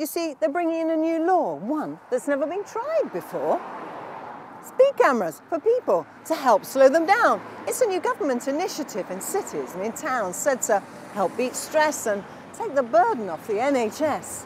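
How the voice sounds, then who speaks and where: A woman's high voice with very wide pitch swings, dry sound with no echo, and light background noise. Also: moderate pace. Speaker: performance poet, comedienne. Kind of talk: comic poetry performance to a live audience. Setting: live stage show with audience. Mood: playful, mock serious. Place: street. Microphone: lapel.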